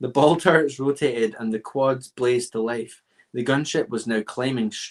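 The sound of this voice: Over a quiet background comes an unforced reading voice whose pitch varies in an ordinary way.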